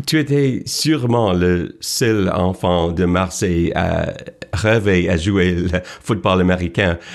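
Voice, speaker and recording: A man at a very slow pace with an English accent, very deep, low pitch, ordinary pitch variation and very even loudness, against noticeable background noise. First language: English (speaking French). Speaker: sports TV host. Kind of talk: interview. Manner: halting, many hesitations.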